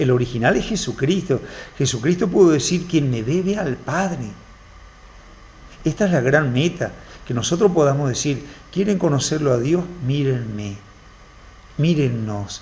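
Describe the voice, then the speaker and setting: At a fairly slow pace marked by long, frequent pauses, a man with a fairly high pitch speaks with lively intonation. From Argentina, Formosa. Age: 50s. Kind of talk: TV interview.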